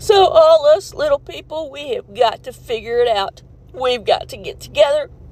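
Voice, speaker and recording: A woman's high voice with very wide pitch swings, at a moderate pace, over noticeable background noise. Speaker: art teacher at a rural school. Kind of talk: emotional personal video rant. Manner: halting, emotional.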